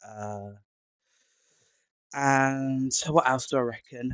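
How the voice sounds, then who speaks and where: In an English accent, the speaker talks at a very slow pace with fairly even intonation, in a dry, close sound with no echo. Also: man. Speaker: maths tutor. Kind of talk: tutorial. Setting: live stream. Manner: halting, many fillers.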